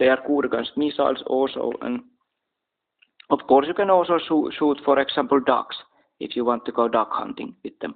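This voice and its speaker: A man speaks in a Finnish accent at a moderate pace. He leaves long, frequent pauses. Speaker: military commentator. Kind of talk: casual talk to camera. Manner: halting.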